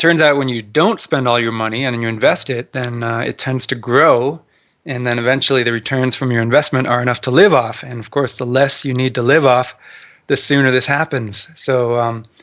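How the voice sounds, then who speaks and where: A man with a plain, everyday voice and a Canadian accent speaks with fairly even intonation in a very clean recording with a silent background. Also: medium pitch for a man, fairly quick pace. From Canada. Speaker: personal finance blogger, retired engineer. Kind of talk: podcast interview.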